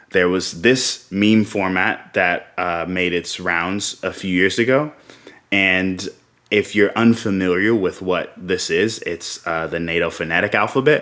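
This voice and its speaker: A man talks in a plain, everyday voice at a fairly low pitch. His pitch variation is ordinary and his pace fairly slow. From South Carolina. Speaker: open source community manager; military veteran. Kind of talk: conference talk.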